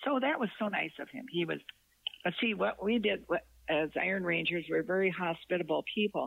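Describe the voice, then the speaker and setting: In an American accent, a woman speaks at a fairly quick pace and medium pitch. Her intonation is lively, with vocal fry. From northern Minnesota. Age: 80s. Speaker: author and retired corporate employee. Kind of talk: casual interview chat.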